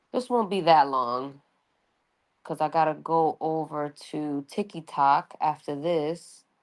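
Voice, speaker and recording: A woman with a New York accent speaks at a very slow pace in a very deep, low pitch with ordinary pitch variation, in a very clean recording with a silent background. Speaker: astrology reader. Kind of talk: casual astrology reading monologue. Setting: audio-only livestream. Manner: casual, conversational with fillers.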